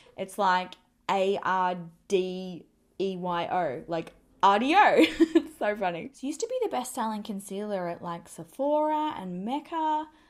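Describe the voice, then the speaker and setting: A woman with an Australian accent and a fairly high pitch shows very wide pitch swings and big swings in loudness on a very clean recording with a silent background. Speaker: beauty vlogger. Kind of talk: makeup tutorial. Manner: casual, chatty.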